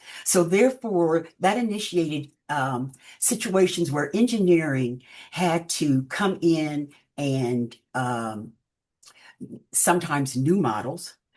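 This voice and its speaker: Very slow and with an American accent, a woman speaks at a very deep, low pitch. Her pitch swings very widely. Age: 80s+. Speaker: retired process engineer and crafter. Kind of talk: interview. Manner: halting.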